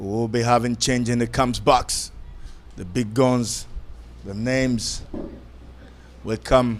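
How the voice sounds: A man speaks slowly at a medium pitch. His intonation stays fairly even.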